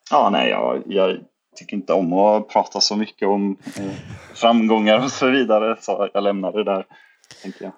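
An ordinary speaking voice from a man with a fairly low pitch, ordinary pitch variation and a moderate pace. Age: 30s. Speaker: disc golf player and entrepreneur. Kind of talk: casual chat.

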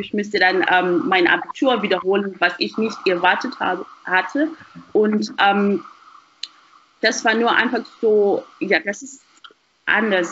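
Long, frequent pauses interrupt delivery that proceeds at a fairly slow pace. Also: woman. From Zimbabwe. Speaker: university student. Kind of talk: casual chat. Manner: halting, repeats words.

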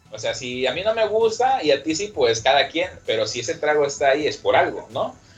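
A man's fairly high voice at a fairly quick pace, with very wide pitch swings and hardly any pauses, over noticeable background noise. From Acapulco, Mexico. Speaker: bar manager. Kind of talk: casual chat.

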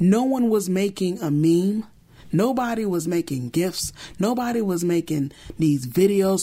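Speaking fairly slowly with an American accent, a woman has a medium-pitched voice with a dark, mellow tone and lively intonation. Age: 30s. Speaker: podcast host. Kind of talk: solo commentary monologue.

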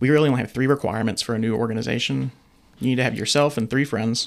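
Talking very fast, a man uses a medium pitch, fairly even intonation and vocal fry. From Atlanta, Georgia. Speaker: university student organization administrator. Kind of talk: casual interview.

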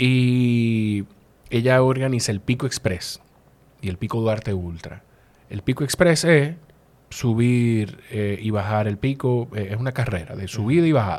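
A man with a Dominican accent speaks at a medium pitch and a fairly slow pace, with ordinary pitch variation. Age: old. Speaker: podcast host. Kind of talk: casual interview.

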